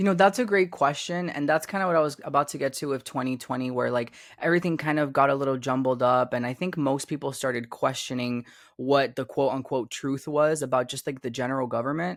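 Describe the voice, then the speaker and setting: A man talks at a very fast pace with a fairly high pitch. The recording is very clean, with a silent background. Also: ordinary pitch variation. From Cuba. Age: 20s. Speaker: YouTuber and podcast guest. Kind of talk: casual interview conversation. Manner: casual, filler-heavy speech.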